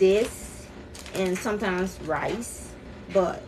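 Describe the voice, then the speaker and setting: A woman's medium-pitched voice with ordinary pitch variation, amid noticeable background noise and audible room echo. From Liberia. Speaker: cooking streamer. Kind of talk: live cooking stream, casual chat.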